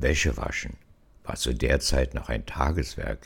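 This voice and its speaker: A man with vocal fry speaks at a moderate pace. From Berlin. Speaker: storyteller. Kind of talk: personal memoir narration.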